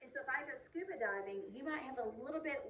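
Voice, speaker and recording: A woman's very fast speech in an American accent, with very wide pitch swings and audible room echo. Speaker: high school chemistry teacher. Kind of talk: recorded video lecture.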